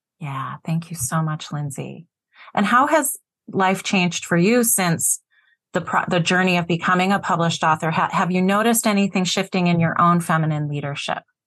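In a normal speaking voice, a woman talks at a moderate pace against a quiet background, with a fairly low pitch and ordinary pitch variation. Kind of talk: moderated panel conversation.

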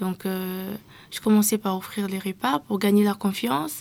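Here is a woman in a plain, everyday voice. Her pitch is medium and her pace moderate. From DR Congo, Kinshasa. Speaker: youth activist. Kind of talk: interview. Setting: studio.

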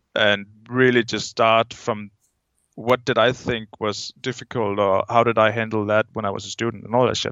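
With a Danish accent, a man speaks at a moderate pace and medium pitch in a monotone, flat intonation. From Denmark. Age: 20s. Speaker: skydiver. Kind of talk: casual chat.

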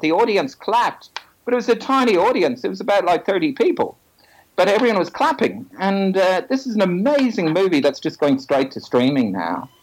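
Swinging very widely in pitch, a man with a high voice speaks at a moderate pace. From Ireland, Dublin. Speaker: film director. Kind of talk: interview. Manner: halting, many fillers.

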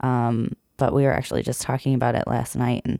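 With a dark, mellow tone and fairly even intonation, a woman talks at a fairly quick pace. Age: 20s. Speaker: bartender and strongman competitor. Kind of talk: casual chat. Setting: studio.

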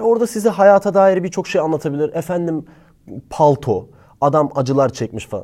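A man speaks at a fairly quick pace with a fairly high pitch, a dark, mellow tone and lively intonation, on a very clean recording with a silent background. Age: 20s. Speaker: YouTuber giving book recommendations. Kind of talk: casual monologue to camera.

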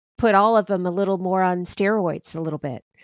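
Medium in pitch, a woman speaks in an ordinary speaking voice with fairly even intonation. The sound is dry and close, with no echo. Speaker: podcast host. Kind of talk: interview conversation.

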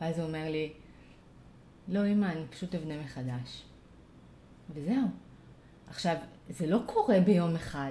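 A woman speaks at a moderate pace with long, frequent pauses. Her voice is fairly low, dark and mellow, somewhat breathy, with ordinary pitch variation. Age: 40s. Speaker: parent coach. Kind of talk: casual interview conversation.

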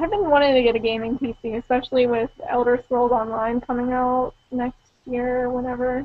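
The pace is moderate, with hardly any pauses. Intonation stays fairly even. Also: woman, high pitch for a woman. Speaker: gaming podcast host. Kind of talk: casual chat.

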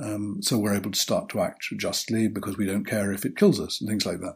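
A man speaks with a British accent. His pitch is medium. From Britain. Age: old. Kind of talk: casual interview. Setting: video call.

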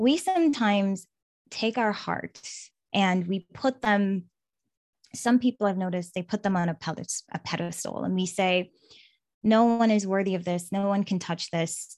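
A woman speaks at a medium pitch and moderate pace with ordinary pitch variation. The very clean recording has a silent background and a dry, close sound with no echo. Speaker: hypnotherapist and relationship coach. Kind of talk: casual interview chat. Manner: energetic.

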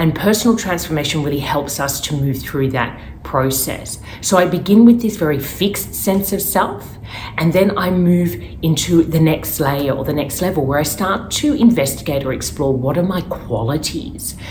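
Her voice is very deep and low for a woman, with an Australian accent and lively intonation at a moderate pace. Audible room echo and noticeable background noise surround her. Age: 40s. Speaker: life coach. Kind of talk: educational monologue.

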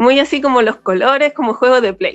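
Her voice high in pitch, a woman speaks at a fairly quick pace. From Chile, Valparaíso. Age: 30s. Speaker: podcast listener sharing story. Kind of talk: personal testimony. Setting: video call.

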